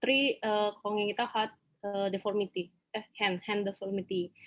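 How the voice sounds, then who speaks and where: A woman speaks with an Indonesian accent. Her intonation is fairly even. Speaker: doctor, audience questioner. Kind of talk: question at webinar. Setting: video call webinar. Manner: halting.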